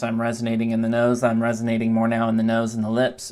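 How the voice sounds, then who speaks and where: A nasal, put-on character voice races along at a very fast pace. Noticeable background noise sits behind it. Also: man, medium pitch for a man. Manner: monotone.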